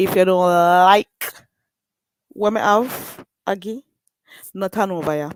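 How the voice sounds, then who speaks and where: Speaking with a strong Jamaican accent, a woman talks at a very slow pace with long, frequent pauses and fairly even intonation. The sound is dry and close with no echo, in a very clean recording with a silent background. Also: medium pitch for a woman. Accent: strong Jamaican island. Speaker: livestreamer. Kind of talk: casual livestream chat. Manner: slow talking.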